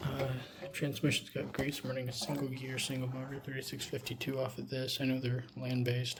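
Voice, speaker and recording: A man talks very fast at a medium pitch, somewhat breathy and monotone. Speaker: RC hobbyist. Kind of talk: casual build vlog. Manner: casual, with fillers.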